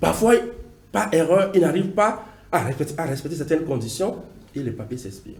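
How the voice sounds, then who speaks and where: Over noticeable background noise and audible room echo, a man with a Beninese accent speaks at a fairly quick pace in a fairly high voice with very wide pitch swings. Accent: African accent, Beninese. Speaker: diaspora community advocate, TV guest. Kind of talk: TV interview. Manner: halting, with repetitions.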